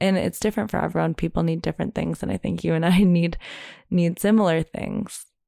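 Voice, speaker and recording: The recording of this woman is very clean and dry, with a silent background and a close sound free of any echo. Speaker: podcast host. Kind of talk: casual chat.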